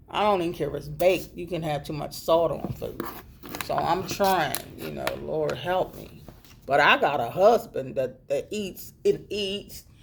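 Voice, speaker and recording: Amid noticeable background noise, a woman talks at a fairly slow pace, her loudness swinging widely. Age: 60s. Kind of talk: casual talk to camera. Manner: informal, chatty.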